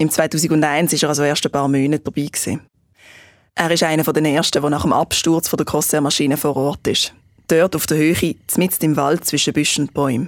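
In a very clean recording with a silent background, a woman talks fairly quickly at a very deep, low pitch with monotone, flat intonation. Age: 20s. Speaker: podcast host, journalist. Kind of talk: scripted narration.

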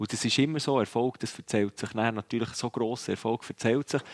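On a very clean, dry and close recording with a silent background, a man with a Swiss accent speaks fairly quickly at a medium pitch with ordinary pitch variation. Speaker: ice hockey pundit, former player. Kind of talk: casual chat. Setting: at the world championship venue.

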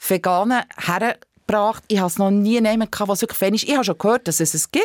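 With ordinary pitch variation, a plain, everyday voice comes through in a dry, close sound with no echo on a very clean recording with a silent background. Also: woman. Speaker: animal rights activist. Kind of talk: interview. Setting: studio.

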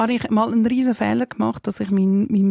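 A woman of medium pitch speaks with a Swiss accent, her tone dark and mellow and her intonation fairly even. The recording is very clean, dry and close, with no echo and a silent background. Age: 40s. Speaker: mother and public figure. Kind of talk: casual chat.

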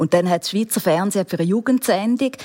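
Amid noticeable background noise, a woman with a medium pitch speaks in an animated tone with ordinary pitch variation, the sound dry and close with no echo. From rural Switzerland. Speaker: TV documentary presenter. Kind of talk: interview.

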